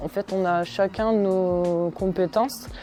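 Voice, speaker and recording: Here a woman speaks at a medium pitch. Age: 20s. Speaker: gendarme. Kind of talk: interview testimony. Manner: hesitant, many fillers.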